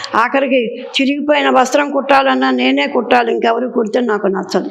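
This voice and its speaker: A woman's high-pitched voice with ordinary pitch variation and very even loudness, plus noticeable background noise and audible room echo. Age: 80s+. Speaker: elderly interviewee. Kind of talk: interview. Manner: clear and loud.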